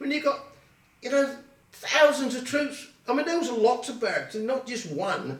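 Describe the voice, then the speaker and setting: A man with an Essex accent speaks at a moderate pace in an extremely high pitch, with ordinary pitch variation, long, frequent pauses, noticeable background noise and audible room echo. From Colchester, Essex, England. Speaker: oral history interviewee. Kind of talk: oral history interview. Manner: halting.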